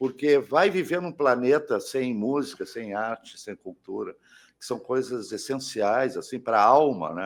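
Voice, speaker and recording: In a very clean recording with a silent background, a man talks fairly slowly with big swings in loudness. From Porto Alegre, southern Brazil. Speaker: rock musician, saxophonist and singer. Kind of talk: interview.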